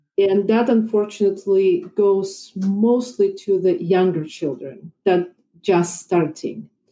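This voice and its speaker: In a Russian accent, a woman with a medium pitch and a dark, mellow tone speaks at a very slow pace with ordinary pitch variation and very even loudness. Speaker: violin and piano teacher. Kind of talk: casual chat.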